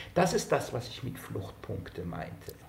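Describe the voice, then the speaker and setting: Noticeable background noise and audible room echo surround a speaker going at a moderate pace. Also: man. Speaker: sociologist, author. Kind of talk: interview. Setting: remote connection.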